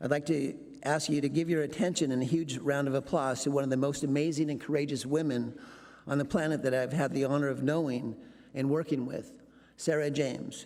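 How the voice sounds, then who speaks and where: In a monotone, flat intonation, a man with a fairly high pitch speaks fairly quickly amid audible room echo. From Alaska. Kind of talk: speech introduction. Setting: conference stage with audience.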